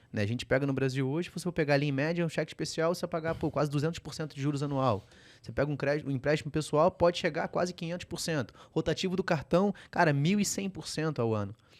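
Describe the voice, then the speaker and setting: On a very clean recording with a silent background, a man with a Rio de Janeiro accent and a fairly high pitch talks at a very fast pace with hardly any pauses and ordinary pitch variation. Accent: carioca, noticeable. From Rio de Janeiro, Brazil. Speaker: podcast host, financial educator. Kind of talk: podcast interview.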